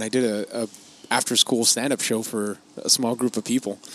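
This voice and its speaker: A man with a Spanish accent is heard in a dry, close sound with no echo. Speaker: podcast host. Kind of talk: casual chat. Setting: outdoor patio of a coffee shop.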